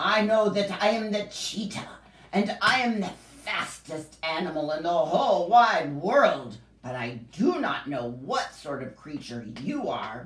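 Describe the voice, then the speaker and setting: This put-on character voice is gruff and growling, at a middle pitch with very wide pitch swings. It moves at a fairly slow pace. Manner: snarling, gruff.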